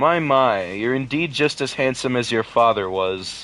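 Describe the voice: Using a husky put-on character voice at a medium pitch, a man speaks at a moderate pace with lively intonation.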